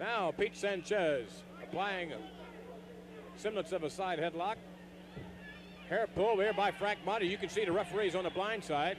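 A man's high, excited voice at a very even loudness, with long, frequent pauses, dry with no echo and noticeable background noise. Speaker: wrestling commentator. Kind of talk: live wrestling play-by-play commentary. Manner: excited, fast-paced, colloquial. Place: hall.

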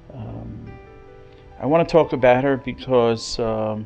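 A man at medium pitch, talking at a very slow pace, with music in the background. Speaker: rabbi and school headmaster. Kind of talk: funeral eulogy. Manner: hesitant, many filler words, emotional.

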